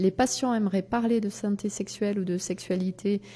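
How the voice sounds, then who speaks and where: At a fairly slow pace, a woman with a dark, mellow tone speaks with fairly even intonation. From southwest France. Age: 50s. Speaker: doctor and sexologist. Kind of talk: interview. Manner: hesitant, many filler sounds.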